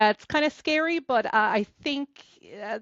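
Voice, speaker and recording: With an Irish accent, a woman talks at a fairly quick pace. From Ireland, County Clare. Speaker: novelist. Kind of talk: podcast interview. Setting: podcast recording.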